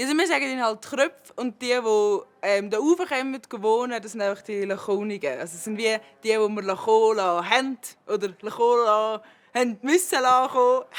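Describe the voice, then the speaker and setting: At a moderate pace, a woman speaks in a Uri accent with a fairly high pitch and ordinary pitch variation. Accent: Urseren Swiss German dialect. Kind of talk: interview answer.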